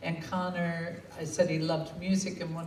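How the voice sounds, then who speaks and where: A woman speaks at a moderate pace in an American accent, her pitch very deep and low. Audible room echo and noticeable background noise surround her voice. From United States. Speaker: bereaved parent and foundation founder. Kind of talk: speech at a book launch.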